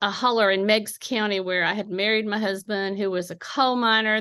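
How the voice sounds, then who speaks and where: The voice has a bright, sharp tone and a slight Appalachian accent. It moves at a moderate pace against a quiet background. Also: woman. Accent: slight Appalachian twang. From Appalachian southeastern Ohio. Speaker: poet. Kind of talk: interview. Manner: hesitant, many fillers.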